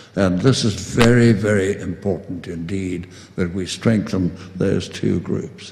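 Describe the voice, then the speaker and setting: In a room with audible echo, a man with a very deep, low, somewhat breathy voice speaks with ordinary pitch variation. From South Africa. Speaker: distinguished professor of urban studies. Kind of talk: closing remarks speech. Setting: conference podium with audience. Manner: halting, many fillers and repetitions.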